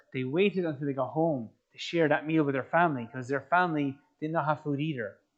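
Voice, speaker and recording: In an Irish accent, a man sounds animated, fairly high in pitch with ordinary pitch variation. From Ireland. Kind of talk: motivational talk to young audience. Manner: animated, conversational.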